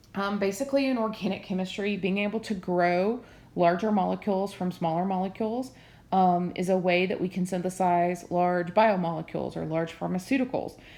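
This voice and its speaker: In a Southern US accent, a woman speaks at a fairly quick pace with a medium pitch. Her tone is dark and mellow, and her intonation is fairly even. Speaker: chemistry teacher. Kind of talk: lecture. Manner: hesitant, many fillers.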